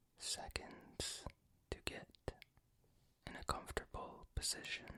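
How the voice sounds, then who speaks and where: Whispering at a fairly slow pace fills the clip. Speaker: ASMR creator. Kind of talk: whispered history reading.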